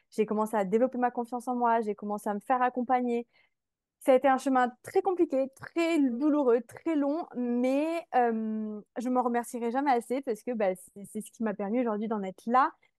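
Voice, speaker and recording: A high-pitched woman at a moderate pace, ordinary pitch variation, dry, close sound with no echo. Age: 20s. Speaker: mindset coach. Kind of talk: podcast interview, personal testimony.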